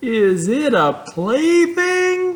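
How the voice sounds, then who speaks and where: Someone performs a put-on character voice at a high pitch with very wide pitch swings. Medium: read story. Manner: earnest, eager.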